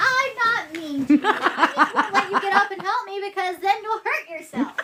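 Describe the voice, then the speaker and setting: Projecting a raised voice, a woman speaks at an extremely high pitch with very wide pitch swings. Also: moderate pace. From US Pacific Northwest. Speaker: house cleanup vlogger. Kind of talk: casual chat.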